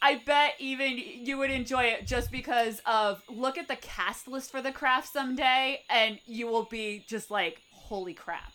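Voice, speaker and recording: A woman projects a raised voice at high pitch in a bright, sharp tone, speaking at a fairly slow pace with hardly any pauses. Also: ordinary pitch variation. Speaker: podcast host. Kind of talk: casual chat. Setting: video call.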